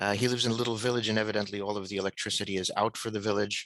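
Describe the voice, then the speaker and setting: A man's very fast, fairly low voice with an American accent and monotone, flat intonation, dry and close with no echo, over a quiet background. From United States. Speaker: mediator and retired diplomat. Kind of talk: webinar talk. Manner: halting, many fillers.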